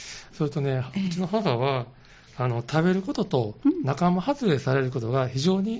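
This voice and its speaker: With lively intonation and a somewhat breathy sound, a man speaks at a moderate pace in a fairly high pitch. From Osaka. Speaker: caregiver support group leader. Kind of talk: radio interview.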